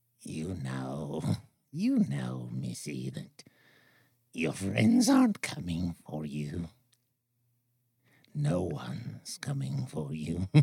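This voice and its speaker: Using a put-on character voice, a man speaks very slowly in a very deep, low pitch with long, frequent pauses. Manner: menacing, taunting.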